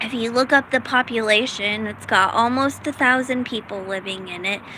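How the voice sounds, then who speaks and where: A woman's fairly high voice with ordinary pitch variation, over noticeable background noise. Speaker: vlogger. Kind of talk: personal vlog monologue. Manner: halting, many fillers.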